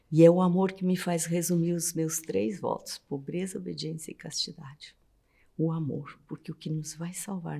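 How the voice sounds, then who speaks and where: A woman's somewhat breathy, dark, mellow voice, fairly low in pitch, at a moderate pace with fairly even intonation. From southern Brazil. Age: 60s. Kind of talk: interview testimony.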